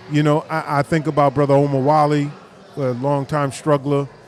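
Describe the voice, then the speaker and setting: A man speaks at a fairly slow pace with a fairly high pitch. There is noticeable background noise. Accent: American. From New York and New Jersey. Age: 60s. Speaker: minister and community activist. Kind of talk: casual interview at live event. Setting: live community event.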